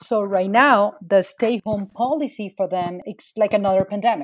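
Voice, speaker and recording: Over a silent background in a very clean recording, a woman talks at a fairly slow pace with a fairly high pitch and ordinary pitch variation. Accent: Spanish. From Venezuela. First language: Spanish. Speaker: migrant advocate, nonprofit founder. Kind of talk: interview.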